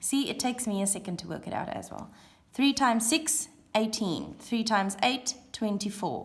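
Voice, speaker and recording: A woman speaks at a moderate pace with a fairly high pitch, somewhat breathy, her intonation lively. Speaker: primary school teacher. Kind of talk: classroom video lesson.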